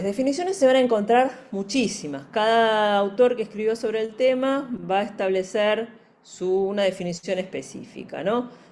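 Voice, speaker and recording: Audible room echo surrounds a woman speaking at a moderate pace with a fairly high pitch and lively intonation. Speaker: forensic psychology expert and lecturer. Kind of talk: lecture.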